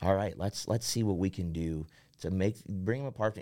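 A man talks with a Midwestern American accent in a dark, mellow tone. The recording is very clean, with a silent background. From central Ohio, rural. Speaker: worship pastor. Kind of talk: casual interview. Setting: studio.

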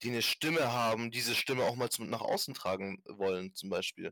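A plain, everyday voice from a man at medium pitch, fairly even in intonation and moderate in pace, dry and close with no echo on a very clean recording with a silent background. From Germany, Stuttgart area. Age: 20s. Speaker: podcast host, activist. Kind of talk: casual chat.

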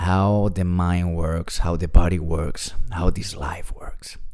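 Very deep and low, a man's voice moves at a very slow pace with ordinary pitch variation and audible room echo. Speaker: podcast host. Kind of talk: personal monologue. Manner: soft-spoken.

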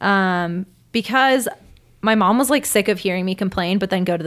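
A woman with a plain, everyday voice speaks at a medium pitch. She keeps a moderate pace with ordinary pitch variation. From Venezuela, raised in Washington DC. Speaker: mural artist and clothing designer. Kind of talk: casual interview chat.

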